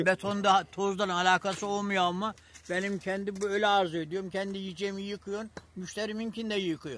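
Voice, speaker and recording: The dry, echo-free recording captures a man with a high-pitched voice talking at a fairly quick pace in a flat monotone. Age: 80s+. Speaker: grape farmer. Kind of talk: interview answer. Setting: outdoors. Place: farm. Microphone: phone near.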